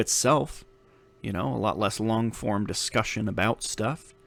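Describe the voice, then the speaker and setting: With vocal fry and ordinary pitch variation, a man speaks at a moderate pace and a medium pitch. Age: 30s. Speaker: podcast host. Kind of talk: solo podcast monologue. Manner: casual, many filler words.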